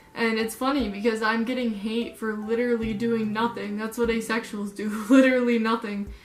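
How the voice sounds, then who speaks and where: Noticeable background noise sits under a woman's fairly high voice. She speaks in a monotone, flat way with hardly any pauses. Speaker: vlogger. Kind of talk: casual vlog talk. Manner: halting, many ums.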